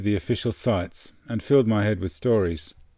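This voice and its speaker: With an Australian accent, a man talks at a fairly quick pace in a fairly low voice, his pitch varying in an ordinary way. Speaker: travel storyteller. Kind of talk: scripted narration.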